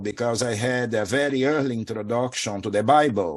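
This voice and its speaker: A man speaks with a Portuguese accent at a moderate pace. The recording is very clean, with a silent background. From Brazil. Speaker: spiritual teacher. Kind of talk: interview.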